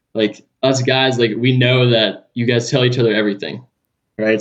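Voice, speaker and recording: A man with a Californian accent at a medium pitch, moderate pace and fairly even intonation. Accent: Californian surfer-style American. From Southern California (Los Angeles area). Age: 20s.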